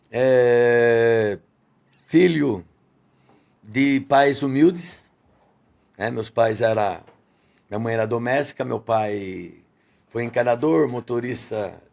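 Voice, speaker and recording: A man with a medium pitch and ordinary pitch variation talks at a very slow pace, leaving long, frequent pauses. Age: 60s. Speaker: restaurant owner. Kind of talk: podcast interview.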